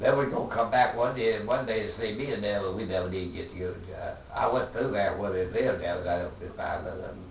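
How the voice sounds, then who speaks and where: A man with a Southern US accent talks at a fairly quick pace with hardly any pauses, over noticeable background noise. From Arkansas. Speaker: war veteran. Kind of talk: interview answer.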